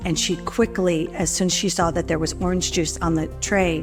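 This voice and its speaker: Over music in the background, a woman talks in a fairly low pitch with an American accent. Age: 60s. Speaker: heart surgery patient. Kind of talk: patient testimonial interview.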